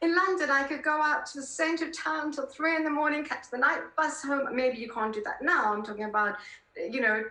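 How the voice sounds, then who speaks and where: A woman's raised, projected voice with high pitch and lively intonation, with audible room echo. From South Africa. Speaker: political columnist. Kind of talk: interview conversation.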